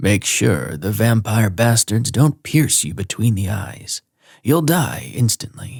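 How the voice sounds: A woman's put-on character voice, gravelly and very deep and low in pitch, at a fairly slow pace in a very clean recording with a silent background.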